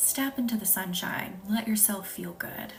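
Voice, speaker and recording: Someone with a slight Southern US accent talks at a moderate pace, with noticeable background noise. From US South, Arkansas. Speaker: reiki healer and spiritual coach. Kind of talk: live-stream energy healing session. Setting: live stream. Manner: casual, chatty.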